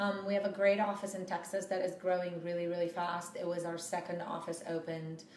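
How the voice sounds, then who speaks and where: A woman's fairly low voice with a Romanian accent, fairly quick with hardly any pauses, monotone and flat, amid noticeable background noise and audible room echo. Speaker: PR firm CEO. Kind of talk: interview. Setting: office.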